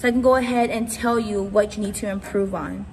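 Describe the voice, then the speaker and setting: A woman speaks at a fairly high pitch with fairly even intonation. Noticeable background noise and audible room echo surround her voice. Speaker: youth ministry speaker. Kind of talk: sermon. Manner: naturally very fast talker.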